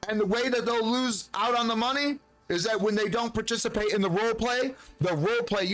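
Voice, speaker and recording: A man talks in an animated tone. His pace is fairly quick. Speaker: video game streamer. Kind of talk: live gameplay stream chat. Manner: loud.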